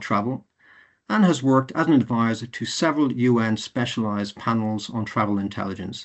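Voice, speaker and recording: A man with an Irish accent speaks at a fairly quick pace. His pitch varies in an ordinary way. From Ireland. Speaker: university lecturer and webinar moderator. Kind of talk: webinar introduction. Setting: online webinar. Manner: formal.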